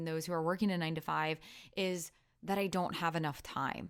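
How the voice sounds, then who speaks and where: On a very clean recording with a silent background, a woman speaks in an Iowa accent at a fairly quick pace. Her fairly low voice stays monotone and flat. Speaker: business coach and podcast host. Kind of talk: solo podcast monologue.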